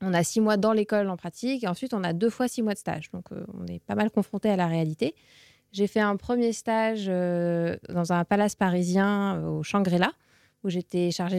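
A woman talks at a medium pitch and a moderate pace with ordinary pitch variation. The recording is very clean, with a silent background and a dry, close sound with no echo. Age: 20s. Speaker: communications manager. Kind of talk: interview. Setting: studio. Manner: hesitant, many fillers.

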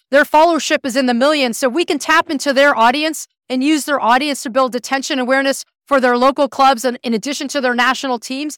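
In a very clean recording with a silent background and a dry, close sound with no echo, a woman with an American accent talks very fast at a high pitch, with fairly even intonation and hardly any pauses. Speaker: club co-founder and entrepreneur. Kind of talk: interview answers.

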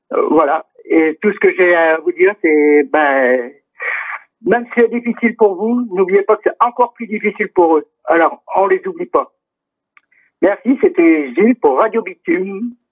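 A man talks at a high pitch and a fairly slow pace. His pitch swings very widely. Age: 50s. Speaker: community radio presenter and volunteer. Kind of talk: public service appeal. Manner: halting, many hesitations.

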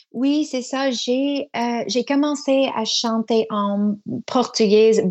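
A woman with an English Canadian accent talks at a very slow pace. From Canada, Toronto. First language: English (speaking French). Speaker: singer. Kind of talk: radio interview. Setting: remote line from Quebec City. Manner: halting, many hesitations.

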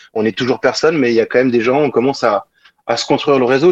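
A man's medium-pitched voice at a very fast pace, dry and close with no echo. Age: 40s. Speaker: singer-guitarist. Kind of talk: interview.

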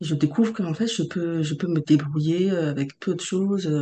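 A woman with a fairly low pitch and a dark, mellow tone talks at a very slow pace. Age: 30s. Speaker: transformation facilitator. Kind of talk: podcast interview. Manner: halting.

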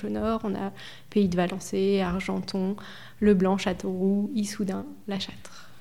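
A woman with an unremarkable speaking voice talks at medium pitch with fairly even intonation. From France, Indre (Berry). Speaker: director of a home care association. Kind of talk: casual interview.

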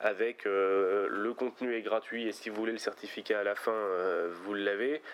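A man's plain, everyday voice, medium in pitch. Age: 20s. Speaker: company founder. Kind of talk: interview.

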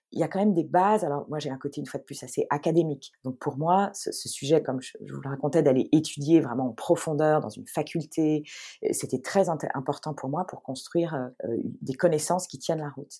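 A woman speaks at a fairly quick pace with a very deep, low pitch and a dark, mellow tone, showing ordinary pitch variation. Her loudness swings widely in a very clean recording with a silent background. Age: 40s. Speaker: astrologer. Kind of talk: interview. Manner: animated.

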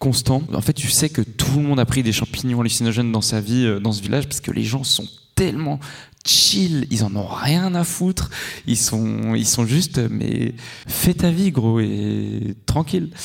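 A man's normal speaking voice at a medium pitch and a fairly slow pace. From Switzerland. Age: 20s. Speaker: traveller. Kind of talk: live interview. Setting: stage with audience.

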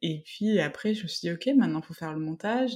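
A woman's somewhat breathy, fairly low voice with lively intonation. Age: 20s. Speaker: podcaster and psychomotor therapist. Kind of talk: casual interview. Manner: hesitant, many fillers.

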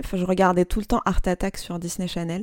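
A woman with a normal speaking voice talks at a fairly quick pace with ordinary pitch variation, the sound dry and close with no echo in a very clean recording with a silent background. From Algeria (Algiers). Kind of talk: interview. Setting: home workshop.

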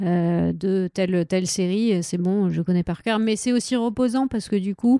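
A woman with a medium pitch, ordinary pitch variation and a dark, mellow tone speaks at a fairly slow pace and very even loudness, in a dry, close sound with no echo. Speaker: comics translator. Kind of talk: casual interview.

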